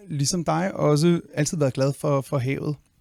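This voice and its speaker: Very slowly, a man speaks in a dark, mellow tone, fairly high in pitch. The recording is very clean, with a silent background. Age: 40s. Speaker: conservationist and spearfisher. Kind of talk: podcast interview. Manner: halting, many fillers and repetitions.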